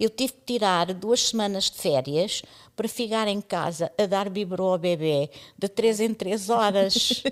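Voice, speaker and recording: Fairly slow speech from a woman, medium in pitch with ordinary variation. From East Timor. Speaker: radio pioneer. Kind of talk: casual interview. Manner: animated.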